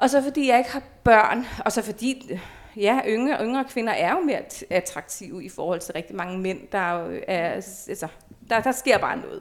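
A normal speaking voice at a moderate pace with lively intonation, very clean recording with a silent background. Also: woman, fairly high pitch for a woman. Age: 40s. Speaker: former nude model. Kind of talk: casual chat. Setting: at the guest's home.

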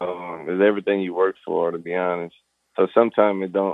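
A man with a Southern Louisiana accent and a fairly low pitch talks at a fairly quick pace in a monotone, flat intonation. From US South, Louisiana (Thibodaux). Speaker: pro football player. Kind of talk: interview. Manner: casual, informal.

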